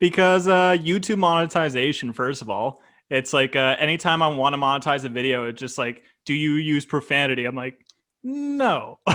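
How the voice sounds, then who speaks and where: An unremarkable speaking voice comes from a man with a Canadian accent. His pitch is fairly high with ordinary variation, and his pace is moderate. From Canada. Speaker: YouTube reaction creator. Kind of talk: casual chat.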